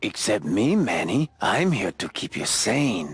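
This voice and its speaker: This raspy, put-on character voice swings very widely in pitch. It moves at a fairly slow pace. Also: man, medium pitch for a man. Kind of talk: con-man patter. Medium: video game. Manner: smooth, wheedling, keeps saying the listener's name.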